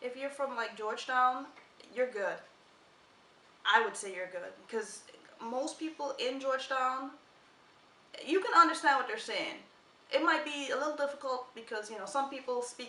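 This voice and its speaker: A woman speaks in a raised, projected voice at a high pitch, her loudness swinging widely, with long, frequent pauses and audible room echo. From Guyana, West Coast countryside. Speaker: vlogger. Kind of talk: casual chat.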